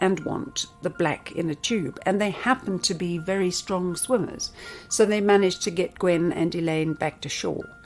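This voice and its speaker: Music runs in the background as a woman at medium pitch talks at a moderate pace with lively intonation. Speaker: storyteller and interviewer. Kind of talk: documentary story narration.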